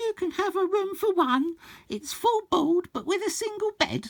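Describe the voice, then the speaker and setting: At a moderate pace, a man puts on a squeaky character voice with an extremely high pitch. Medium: read story. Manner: warm, polite.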